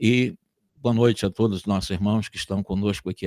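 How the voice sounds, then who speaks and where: A man speaks at a moderate pace with a fairly low pitch and a dark, mellow tone, recorded with a dry, close sound and no echo. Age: 70s. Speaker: spiritist lecturer. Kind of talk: religious lecture. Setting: online video call.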